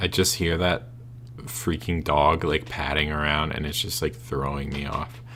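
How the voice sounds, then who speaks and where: Over noticeable background noise, a man with a very deep, low pitch talks at a moderate pace with lively intonation. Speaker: gameplay commentator. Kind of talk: let's play commentary.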